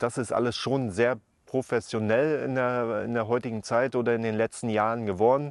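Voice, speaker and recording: Over a quiet background, a man speaks at a medium pitch and moderate pace with monotone, flat intonation, the sound dry with no echo. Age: 40s. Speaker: former professional footballer. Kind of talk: interview; interview answer. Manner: hesitant, many filler sounds. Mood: calm, reflective. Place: open country. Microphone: lapel.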